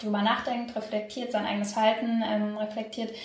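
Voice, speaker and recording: Her fairly high voice stays monotone and flat. Noticeable background noise and audible room echo surround the woman. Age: 20s. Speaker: political science student and climate activist. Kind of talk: interview.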